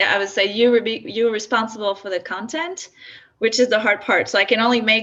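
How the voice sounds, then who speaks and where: A woman speaks in a French accent at a fairly high pitch. Her tone is bright and sharp, with ordinary pitch variation. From France. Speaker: software founder. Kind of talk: workshop presentation. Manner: halting.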